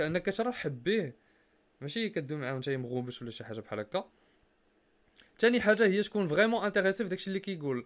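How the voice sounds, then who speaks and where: His pitch high for a man, this male speaker rushes along very quickly while his pitch rises and falls across a very wide range. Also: big swings in loudness, very clean recording, silent background. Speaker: podcast host. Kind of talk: casual chat.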